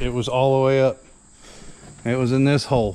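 Light background noise can be heard. The man talks at a moderate pace. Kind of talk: casual vlog chat. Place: farm machine. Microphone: phone near.

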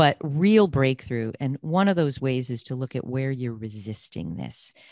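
Over a quiet background with a dry sound and no echo, a woman with a very deep, low pitch talks at a moderate pace with lively intonation. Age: 60s. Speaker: career coach and podcast host. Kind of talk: interview. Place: home room. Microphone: studio mic.

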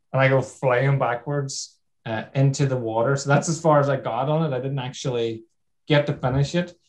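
A man with a fairly high, somewhat breathy voice speaks at a fairly quick pace with fairly even intonation over a quiet background. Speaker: TV obstacle course show contestant. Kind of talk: casual storytelling.

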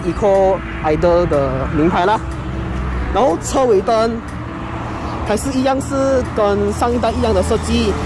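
The speech moves at a fairly slow pace, with a dry sound with no echo and noticeable background noise. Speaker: car reviewer. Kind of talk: casual car walkaround commentary. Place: street. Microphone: phone near.

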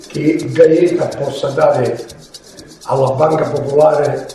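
There is audible room echo. Light background noise is also present. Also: man. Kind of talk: interview answer.

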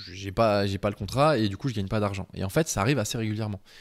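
Here a man speaks in a fairly low pitch with ordinary pitch variation. The background is quiet. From France, Beaujolais countryside; France. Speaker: web design trainer, freelance webmaster; web design trainer. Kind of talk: tutorial. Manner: casual, with many hesitations. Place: home room. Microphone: handheld.

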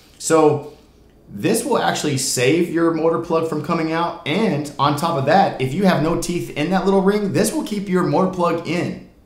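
In a room with audible echo, a man talks at a moderate pace with ordinary pitch variation. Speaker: product reviewer. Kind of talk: tutorial. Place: home room.

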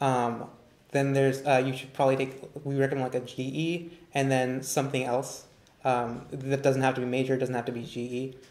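Amid audible room echo, a man speaks at medium pitch and a moderate pace with monotone, flat intonation. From Northern California. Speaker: recent graduate, orientation leader; panelist, moderator. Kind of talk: live Q&A panel. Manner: halting, many fillers. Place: classroom. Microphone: camera far.

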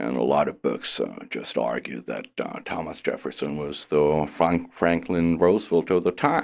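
The man speaks at a moderate pace with hardly any pauses. The background is quiet. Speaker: professor being interviewed. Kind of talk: interview answer. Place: studio. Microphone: studio mic.

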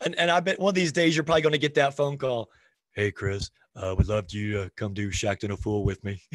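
A man talks very fast with very wide pitch swings. The sound is dry with no echo. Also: quiet background. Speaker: basketball coach and show host; basketball coach, show host. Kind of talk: casual interview chat. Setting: video call. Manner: high energy. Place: home room. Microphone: video call.

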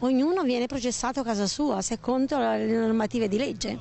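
With a fairly high pitch and a slightly mellow tone, a woman speaks at a moderate pace. Vocal fry runs through her voice.

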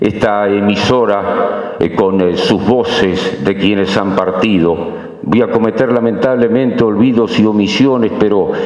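A man speaks at a fairly slow pace in a fairly low pitch, with fairly even intonation, very even loudness and audible room echo. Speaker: speaker. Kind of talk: ceremonial speech. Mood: nostalgic tribute. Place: hall. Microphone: podium.

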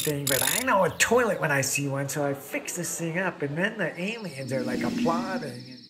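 Over noticeable background noise, a man with a high pitch makes very wide pitch swings. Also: moderate pace, hardly any pauses. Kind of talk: TV commercial read. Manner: casual storytelling.

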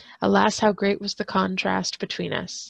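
Her delivery is dramatic, set at a medium pitch and a moderate pace. The woman's voice sounds dry and close, with no echo. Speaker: school librarian reading aloud.

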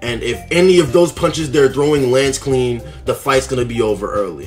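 A man speaks at a fairly quick pace. Faint music plays in the background. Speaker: sports commentator vlogger. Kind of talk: casual commentary. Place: home room. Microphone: phone near.

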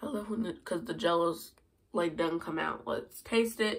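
At a moderate pace, a woman speaks with a fairly bright tone and ordinary pitch variation.

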